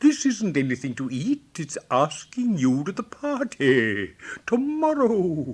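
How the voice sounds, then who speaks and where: A man puts on a character voice with a pompous tone, speaking high in pitch at a fairly slow pace. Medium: read story. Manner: pompous, fussy.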